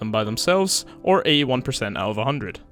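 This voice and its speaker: A man rattles along at a very fast pace with music behind him. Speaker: gaming YouTuber. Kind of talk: video game review commentary. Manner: casual.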